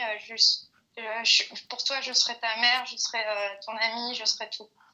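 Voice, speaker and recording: Loudness in this woman's voice swings by a lot. Her pace is moderate. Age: 20s. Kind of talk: interview answer. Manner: hesitant, many filler sounds.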